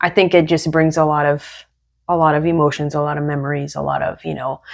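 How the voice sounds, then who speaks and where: Recorded very cleanly against a silent background, a woman speaks with a very deep, low pitch and ordinary pitch variation. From Brazil. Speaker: podcast co-host. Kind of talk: casual chat.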